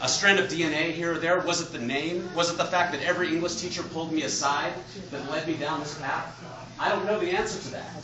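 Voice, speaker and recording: Loud and high-pitched, a man talks at a fairly quick pace amid noticeable background noise and audible room echo. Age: adult. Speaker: author. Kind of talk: lecture. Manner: loud, projecting.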